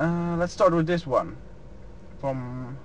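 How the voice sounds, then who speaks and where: A man with a Dutch accent. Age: 20s. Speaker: truck driver. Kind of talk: Q&A vlog. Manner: unscripted, hesitant.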